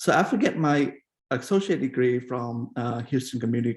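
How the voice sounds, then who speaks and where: A man speaks with a Vietnamese accent at a medium pitch. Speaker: keynote speaker, industry scientist. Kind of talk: keynote talk. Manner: frequent fillers and hesitations.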